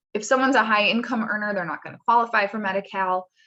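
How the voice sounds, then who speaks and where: A woman's medium-pitched voice with ordinary pitch variation and a bright, sharp tone. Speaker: staff attorney presenting a webinar. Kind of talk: webinar presentation. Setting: working from home on a video call. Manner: fast.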